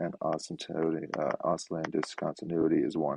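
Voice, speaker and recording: A man speaks quietly. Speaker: math teacher. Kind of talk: lecture. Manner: fast.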